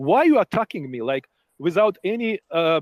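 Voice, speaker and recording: A man with a Ukrainian accent speaks at a moderate pace with very wide pitch swings. The sound is dry and close, with no echo. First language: not English. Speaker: participant in online voice chat. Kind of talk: heated debate. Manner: halting.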